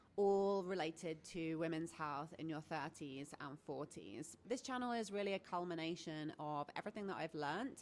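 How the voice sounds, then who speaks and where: The speaker has a British accent, a moderate pace and ordinary pitch variation. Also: woman. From Britain. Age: 40s. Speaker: menopause coach and health vlogger. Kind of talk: educational talk to camera.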